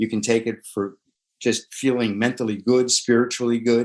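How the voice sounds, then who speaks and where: This man's voice sits at a medium pitch and moves at a moderate pace. His intonation stays flat and monotone. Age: 70s. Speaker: tai chi instructor and poet. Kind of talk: interview. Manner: halting.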